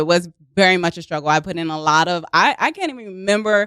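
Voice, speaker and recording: In a very clean recording with a silent background, a woman with a Baltimore accent talks at a fairly quick pace, medium pitch and ordinary pitch variation. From US, Baltimore, Maryland. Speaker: actress and improv comedian. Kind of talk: casual chat. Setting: studio.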